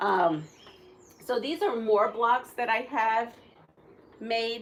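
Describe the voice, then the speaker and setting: This is a woman speaking. She has a Puerto Rican accent. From Puerto Rico. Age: 60s. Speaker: quilter. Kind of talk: live stream tutorial. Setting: live stream. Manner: casual, chatty.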